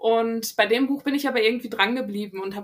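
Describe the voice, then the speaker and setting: Her words come out at a very fast pace. This woman's pitch sits fairly high and varies in an ordinary way. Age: 20s. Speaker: novelist. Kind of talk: interview. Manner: hesitant, many fillers.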